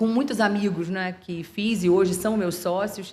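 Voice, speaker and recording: A woman speaks at a moderate pace with a Rio de Janeiro accent. Her pitch sits in the medium range, and her intonation stays fairly even. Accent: carioca (Rio de Janeiro). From Rio de Janeiro, Brazil. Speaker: lawyer, law firm partner and CEO. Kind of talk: interview podcast. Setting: podcast recorded at a trade fair.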